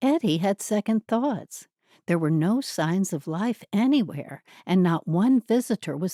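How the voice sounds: A natural reading voice with lively intonation is heard with little behind it.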